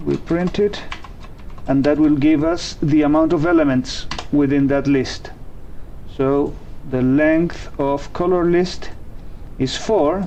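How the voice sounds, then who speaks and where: Very slow speech with long, frequent pauses in a non-native accent, over noticeable background noise. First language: not English. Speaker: programming tutorial host. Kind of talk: tutorial. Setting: live stream. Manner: hesitant, with fillers.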